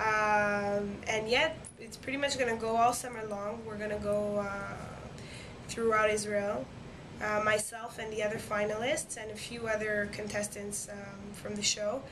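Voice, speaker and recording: With a French accent, a woman speaks at a moderate pace in a fairly high pitch, her intonation fairly even but her loudness swinging widely, over noticeable background noise and audible room echo. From Quebec, Montreal. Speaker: singer, talent show winner. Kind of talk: interview. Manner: hesitant, many fillers.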